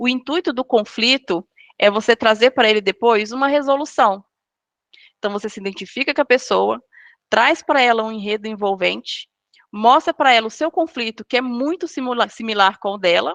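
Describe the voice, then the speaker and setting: A woman's plain, everyday voice, fairly high in pitch, with ordinary pitch variation, a moderate pace and a dry, close sound with no echo. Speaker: guest speaker on storytelling. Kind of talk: online lecture.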